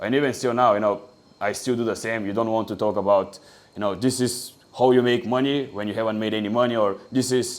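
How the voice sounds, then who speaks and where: A man speaks at a very fast pace with a Bulgarian accent. His pitch is medium and his intonation fairly even. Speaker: online business coach. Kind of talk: tutorial.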